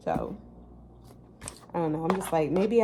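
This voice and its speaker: Noticeable background noise behind a woman speaking with a fairly low pitch. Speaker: natural bodybuilding competitor, vlogger. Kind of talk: casual vlog monologue. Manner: filler-heavy, conversational.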